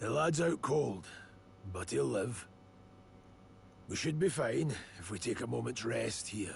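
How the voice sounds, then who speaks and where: Putting on a character voice, a man speaks raspily at medium pitch and a fairly slow pace, with very wide pitch swings, long, frequent pauses, and clear background noise. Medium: video game. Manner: blunt, gruff.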